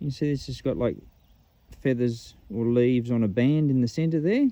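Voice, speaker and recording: A man talks with an Australian accent. The sound is dry, with no echo. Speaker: metal detecting vlogger. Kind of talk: casual outdoor commentary. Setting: outdoors in the bush. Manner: casual, chatty. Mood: enthusiastic. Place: open country.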